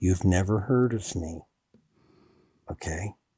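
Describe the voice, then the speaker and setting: A man speaks with a somewhat breathy voice and ordinary pitch variation. The sound is dry and close, with no echo. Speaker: author, witch and UFO researcher. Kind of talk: casual chat. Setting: in person with host.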